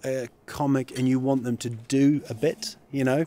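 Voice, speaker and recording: The man's voice has a dry sound with no echo. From New Zealand. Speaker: comedian. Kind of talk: interview.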